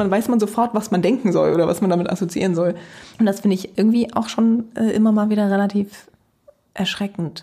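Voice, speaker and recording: A woman talks at a fairly quick pace in a medium pitch, her somewhat breathy voice dark and mellow in tone, with fairly even intonation and very even loudness. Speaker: podcast co-host, university lecturer. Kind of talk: casual chat.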